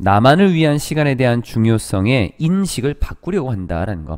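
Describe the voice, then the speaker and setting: The pitch swings very widely on this very clean recording with a silent background. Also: man. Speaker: English teacher. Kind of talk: lecture.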